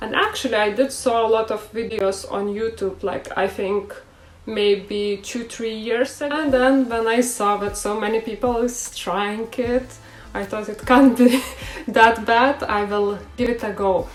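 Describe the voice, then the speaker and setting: Fairly slow and fairly high in pitch, a woman speaks with a non-native accent and fairly even intonation. Noticeable background noise is present. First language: not English. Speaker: beauty vlogger. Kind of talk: tutorial. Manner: hesitant, with filler sounds.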